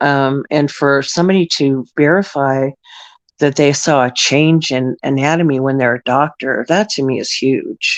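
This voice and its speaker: Her intonation is fairly even. The woman's pitch is very deep and low. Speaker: panel guest. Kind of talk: casual chat. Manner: halting.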